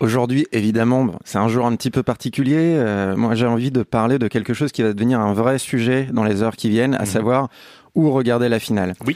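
Having a normal speaking voice and a medium pitch, a man talks at a fairly quick pace with fairly even intonation, on a very clean recording with a silent background and a dry, close sound with no echo. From France. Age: 30s. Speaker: sports writer. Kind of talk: casual chat.

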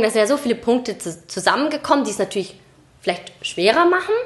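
With a plain, everyday voice, a woman speaks at a fairly quick pace, her fairly high pitch moving with lively intonation. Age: 20s. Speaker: podcast co-host. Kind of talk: casual chat.

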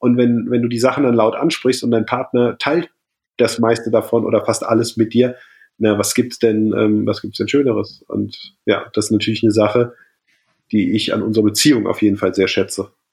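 In an ordinary speaking voice, a man talks at a moderate pace and medium pitch with fairly even intonation. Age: 30s. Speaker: triathlete and keynote speaker. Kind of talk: casual chat.

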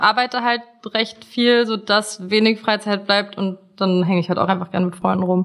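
Through noticeable background noise, a woman's fairly high voice comes across with ordinary pitch variation. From Germany. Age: 20s. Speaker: dating show contestant. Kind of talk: casual chat.

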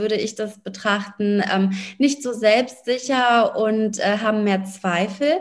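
The speech moves at a fairly slow pace with fairly even intonation, and noticeable background noise runs underneath. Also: woman. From Berlin, Germany. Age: 30s. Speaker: lawyer and business coach. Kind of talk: interview.

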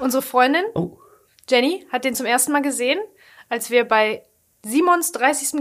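A woman speaks in a high pitch with lively intonation. The recording is very clean, the background silent. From Ruhr area, Germany. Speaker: podcast co-host. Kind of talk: casual chat.

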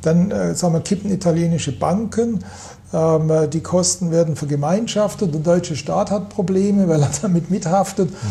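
There is noticeable noise behind this man's high-pitched voice. He talks at a moderate pace with ordinary pitch variation and very even loudness. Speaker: economist. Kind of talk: interview. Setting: office with view over city. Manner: hesitant, many fillers.

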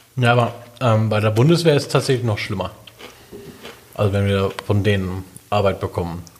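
Over noticeable background noise, a man with a fairly low pitch talks at a fairly quick pace, with long, frequent pauses. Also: ordinary pitch variation. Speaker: podcast co-host. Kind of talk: casual chat.

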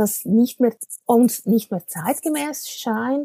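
Lively intonation at a very slow pace, with a dry, close sound and no echo. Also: woman. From Switzerland. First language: Swiss German (speaking German). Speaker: communications consultant. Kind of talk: interview.

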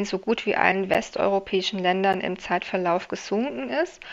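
Speaking at a moderate pace with a medium pitch, a woman with an unremarkable speaking voice uses lively intonation against a quiet background. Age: 40s. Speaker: political scientist, election researcher. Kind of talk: interview.

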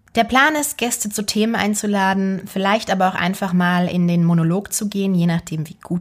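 Somewhat breathy, a woman speaks at a moderate pace and medium pitch with ordinary pitch variation and hardly any pauses. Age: 20s. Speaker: actress and podcast host. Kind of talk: solo podcast monologue.

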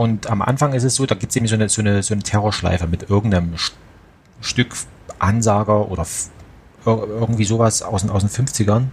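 A man with a slight Saxon accent speaks at a fairly quick pace and fairly low pitch, with fairly even intonation and long, frequent pauses. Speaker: audio drama producer. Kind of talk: casual chat.

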